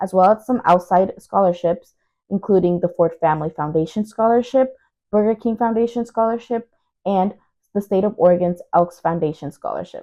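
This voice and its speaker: With a Spanish accent, a woman speaks at a medium pitch and a moderate pace. Her pitch varies in an ordinary way. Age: young. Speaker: university student. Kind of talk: video update.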